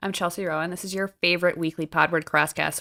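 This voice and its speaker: A woman with an American accent, a fairly low pitch and a bright, sharp tone, in a dry, close sound with no echo and a very clean recording with a silent background. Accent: slight New Jersey, slips in. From New Jersey. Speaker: podcast co-host. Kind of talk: casual chat.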